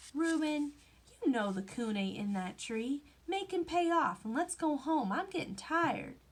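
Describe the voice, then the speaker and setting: A whiny, put-on character voice swings very widely in pitch at a moderate pace. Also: woman, high pitch for a woman. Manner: whining.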